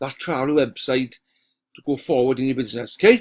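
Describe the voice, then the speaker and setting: A man with a Welsh accent speaks with fairly even intonation. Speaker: online marketer. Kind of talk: software walkthrough sales pitch. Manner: casual, halting with fillers.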